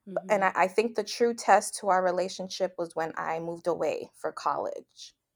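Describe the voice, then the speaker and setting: A woman speaks at a moderate pace in an ordinary speaking voice, her pitch medium with ordinary variation. The recording is very clean, with a silent background. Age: 30s. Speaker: friend of the host, college classmate. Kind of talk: casual chat.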